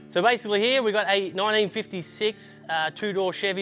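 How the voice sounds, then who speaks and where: Faint music plays in the background as a man talks at a moderate pace. His intonation stays fairly even. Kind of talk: casual tour commentary. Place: garage.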